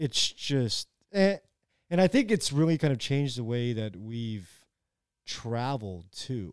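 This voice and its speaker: On a very clean recording with a silent background, a speaker in a Californian accent goes at a fairly slow pace, with long, frequent pauses and very wide pitch swings. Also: man, medium pitch for a man. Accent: Californian American. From US West Coast, San Francisco Bay Area. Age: 30s. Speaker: podcast guest. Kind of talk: casual chat.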